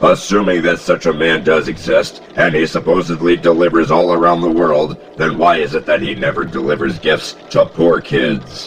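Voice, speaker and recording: A man's put-on character voice, very deep and low in pitch, at a moderate pace with hardly any pauses, over clear background noise. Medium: solo performance. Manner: pedantic, logical.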